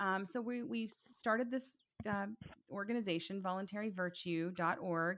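Speaking in a Tennessee accent, a woman keeps a medium pitch, ordinary pitch variation and a moderate pace. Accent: Southern US (Tennessee). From US South, Chattanooga, Tennessee. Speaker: podcaster and political activist. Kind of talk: interview conversation.

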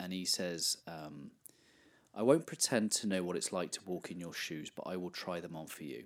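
A man with an English accent has a very deep, low pitch. He speaks at a moderate pace. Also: ordinary pitch variation. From England. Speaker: life coach and podcaster. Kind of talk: interview.

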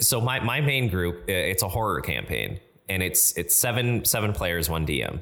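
With music in the background, a man with a very deep, low pitch talks at a moderate pace using lively intonation. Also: very even loudness. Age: 30s. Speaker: tabletop game writer and podcast co-host. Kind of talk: casual chat.

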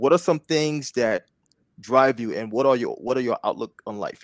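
A man with a plain, everyday voice speaks at medium pitch with ordinary pitch variation. The sound is dry and close, with no echo. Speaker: podcast host and wellness business founder. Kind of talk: interview. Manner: upbeat.

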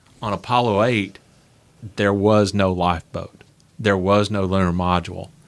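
A man with a Southern US accent, fairly low-pitched, at a moderate pace with fairly even intonation and long, frequent pauses. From Nashville, Tennessee. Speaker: author and motorsports historian. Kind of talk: interview conversation. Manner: halting, with fillers and repeats.

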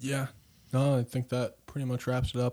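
An unremarkable speaking voice moves along at a fairly quick pace. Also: man. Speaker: podcast co-host. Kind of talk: casual podcast chat.

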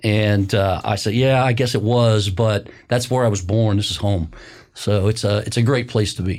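A man with a plain, everyday voice, fairly low pitch, fairly even intonation, and a moderate pace. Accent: American. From US Midwest, Indiana (near Bloomington). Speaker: county commissioner and construction business owner. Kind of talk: interview conversation. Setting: studio.

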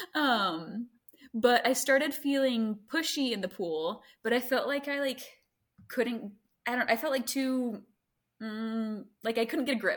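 The speaker, with an American accent, goes at a fairly slow pace with ordinary pitch variation and long, frequent pauses. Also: woman, high pitch for a woman. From US South, Greenville, South Carolina. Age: 20s. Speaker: mother sharing birth story. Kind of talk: casual interview, birth story.

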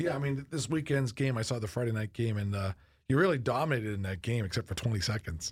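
A somewhat breathy man talks at a very fast pace and medium pitch with lively intonation, on a very clean recording with a silent background. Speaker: college president, podcast host. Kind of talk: interview conversation. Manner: conversational, hesitant with fillers.

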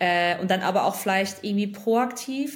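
Fairly quick, somewhat breathy speech with audible room echo. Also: woman. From western Germany, North Rhine-Westphalia. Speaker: former investment banker and consultancy founder. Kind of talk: casual interview.

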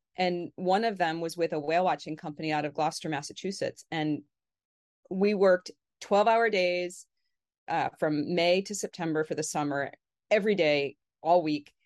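At a moderate pace, a woman with an ordinary speaking voice and a fairly low pitch talks with ordinary pitch variation, the sound dry and close with no echo over a quiet background. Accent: American. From Connecticut, New England. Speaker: dolphin researcher. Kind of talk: interview conversation.

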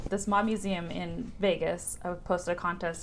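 A woman with an American accent talks at medium pitch, with audible room echo around her voice. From Southern California, Orange County. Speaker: restaurant co-owner. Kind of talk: casual interview.

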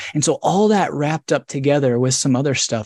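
Recorded dry and close with no echo against a quiet background, a man with an American accent speaks in a normal speaking voice at a fairly high pitch and a fairly quick pace, with ordinary pitch variation. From US Midwest, rural northern Indiana. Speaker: author and scholar. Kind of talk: interview on a live video book club. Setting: video call.

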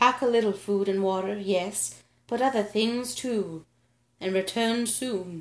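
Plain reading aloud is what this clip contains.

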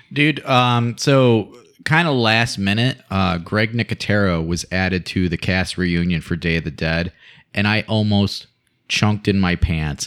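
Speaking at a fairly slow pace, a man uses an ordinary speaking voice. His pitch sits fairly low and his intonation is lively. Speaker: guest co-host. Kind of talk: casual banter, film discussion. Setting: recording studio.

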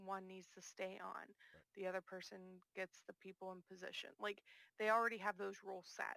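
A woman's medium-pitched voice with an American accent, bright and sharp in tone, monotone and flat in intonation, at a fairly quick pace, in a dry, close sound with no echo. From US, small town where the first zombie film was made. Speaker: gaming podcast guest. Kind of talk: casual chat.

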